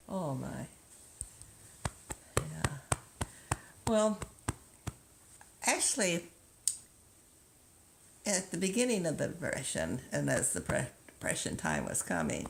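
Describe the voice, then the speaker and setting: Amid noticeable background noise, a woman speaks very slowly with long, frequent pauses. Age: 80s+. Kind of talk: interview answer.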